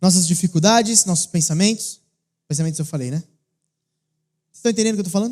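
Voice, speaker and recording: Animated in tone, a man with a high pitch and ordinary pitch variation talks at a very fast pace, broken by long, frequent pauses. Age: 20s. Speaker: pastor. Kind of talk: sermon.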